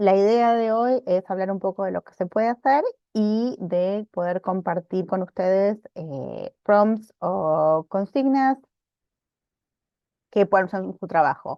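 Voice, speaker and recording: In a dry sound with no echo and a quiet background, a woman speaks very slowly at a medium pitch, with ordinary pitch variation and big swings in loudness. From Argentina. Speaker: librarian teaching a workshop; webinar presenter. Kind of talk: online workshop presentation; lecture. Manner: frequent hesitations and repetitions. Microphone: video call.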